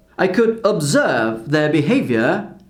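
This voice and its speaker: A man speaks very slowly, his pitch swinging very widely. Room echo is audible. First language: Portuguese. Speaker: language teacher. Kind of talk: vlog-style talk to camera.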